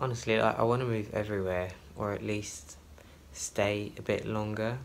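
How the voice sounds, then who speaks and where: Soft-spoken, a man talks with audible room echo around him. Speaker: flight attendant vlogger. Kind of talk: travel vlog. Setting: hotel room. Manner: soft-spoken, talking quietly.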